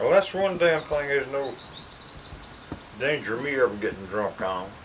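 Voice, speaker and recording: Noticeable background noise runs under a man with a Southern US accent. His fairly high pitch makes very wide swings at a moderate pace. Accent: Southern American. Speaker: World War II veteran; farmer. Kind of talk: casual conversation.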